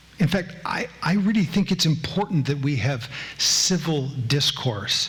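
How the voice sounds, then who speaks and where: With audible room echo around him, a man speaks at a fairly high pitch with lively intonation. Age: old. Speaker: former judge and lecturer. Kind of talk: public lecture.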